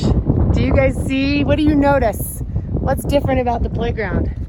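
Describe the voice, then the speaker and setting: Spoken in an American accent at a moderate pace, the voice keeps very even loudness amid audible room echo and noticeable background noise. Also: woman. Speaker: vlogger. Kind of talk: casual chat.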